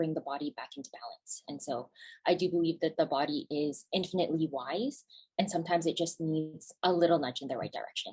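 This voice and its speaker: A woman with a Canadian accent has a plain, everyday voice and a fairly low pitch. She talks at a fairly quick pace. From Canada. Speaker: naturopathic physician. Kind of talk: webinar presentation. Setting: video call webinar.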